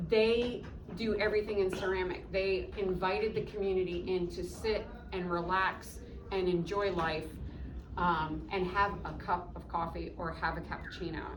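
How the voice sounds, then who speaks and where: Against noticeable background noise and audible room echo, a woman talks in a monotone, flat intonation with an American accent. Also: medium pitch for a woman, moderate pace. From upstate New York, small town. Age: 60s. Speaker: coffee shop owner. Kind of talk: interview with students. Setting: classroom.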